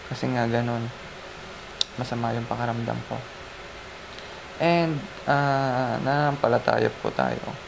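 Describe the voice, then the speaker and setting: Soft-spoken and fairly slow, a man leaves long, frequent pauses, with audible room echo and noticeable background noise around him. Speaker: lay preacher sharing devotion. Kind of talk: devotional talk. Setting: lying down in bed. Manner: halting.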